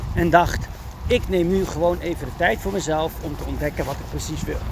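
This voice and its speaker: A man keeps a moderate pace as noticeable background noise carries on behind him. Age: 30s. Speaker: dog trainer and podcast host. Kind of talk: solo podcast monologue. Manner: frequent fillers and hesitations.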